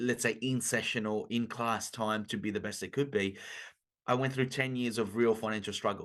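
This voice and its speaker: Against a quiet background, a man speaks in a medium pitch at a moderate pace with fairly even intonation. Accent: Italian-Australian. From Italy. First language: Italian. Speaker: business coach. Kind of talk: podcast interview.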